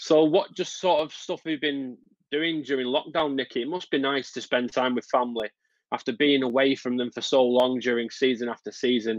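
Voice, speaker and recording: A man with a Lancashire accent speaks at a fairly quick pace. His medium-pitched voice keeps a fairly even intonation. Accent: Bolton. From northern England, Bolton. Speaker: sports interviewer. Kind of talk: interview.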